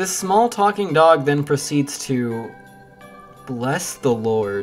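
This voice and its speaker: The speech moves at a very slow pace. Music plays in the background. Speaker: video essayist. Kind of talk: video essay narration. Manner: sarcastic, comedic.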